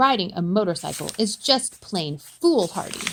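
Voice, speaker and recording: A woman puts on a character voice at a medium pitch. She talks at a moderate pace. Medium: read story.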